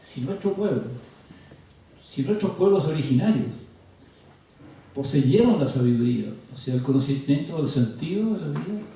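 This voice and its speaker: The speaker moves at a moderate pace with lively intonation. Audible room echo and noticeable background noise fill the recording. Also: man. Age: 80s+. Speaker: author and scholar. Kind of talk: lecture.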